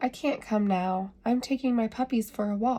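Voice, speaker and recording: A woman puts on a character voice. She pitches it fairly high and keeps a moderate pace. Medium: read story. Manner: barking.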